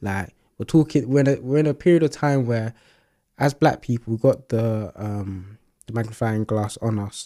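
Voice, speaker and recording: On a very clean recording with a silent background, a man speaks with a British accent at a moderate pace. His medium-pitched voice has a dark, mellow tone and ordinary pitch variation. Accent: British urban English. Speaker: podcast host. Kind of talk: casual chat.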